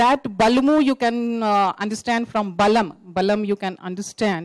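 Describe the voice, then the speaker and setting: In an Indian accent, a woman speaks at a moderate pace with a fairly high pitch and ordinary pitch variation. The sound is dry and close, with no echo. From India, Mithila region of northern Bihar. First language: Maithili. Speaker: poet. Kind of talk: introducing own folk verse at a festival panel. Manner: halting, many fillers.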